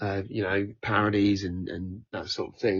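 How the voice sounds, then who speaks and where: A man with a Norfolk accent speaks at a fairly slow pace. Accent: East Norfolk. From Norfolk, England (Norwich). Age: 30s. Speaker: singer and comedy performer. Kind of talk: podcast interview.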